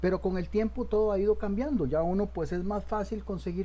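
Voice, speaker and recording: A man with a Costa Rican accent, in audible room echo. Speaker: teacher. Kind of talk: lecture. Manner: halting.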